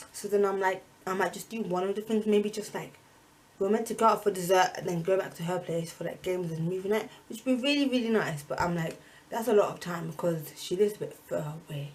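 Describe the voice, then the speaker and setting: With a British accent, a woman talks at a very fast pace. Her pitch is medium, with ordinary variation. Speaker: student vlogger. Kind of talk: casual vlog talk.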